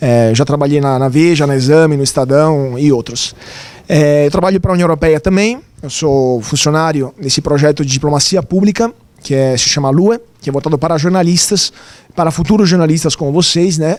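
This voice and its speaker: Over noticeable background noise, a man with an Italian accent talks at a fairly quick pace. His voice is fairly high, with ordinary pitch variation. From Italy. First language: Italian (speaking Portuguese). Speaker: journalist. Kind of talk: lecture.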